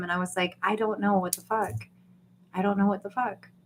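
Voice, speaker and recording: An animated woman with an American accent speaks at a medium pitch over noticeable background noise. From US Deep South. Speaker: YouTube livestreamer. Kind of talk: casual livestream chat.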